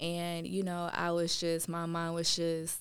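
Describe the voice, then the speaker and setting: Her voice sits fairly low. This woman keeps to a moderate pace. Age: 20s. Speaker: mother in custody dispute. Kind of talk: casual interview.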